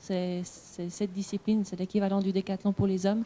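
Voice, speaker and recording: A woman's somewhat breathy, dark, mellow voice at medium pitch, monotone and flat in intonation, at a moderate pace. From French-speaking Switzerland, Vaud. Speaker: Olympic sprinter. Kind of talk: panel discussion. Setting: conference with audience. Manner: halting.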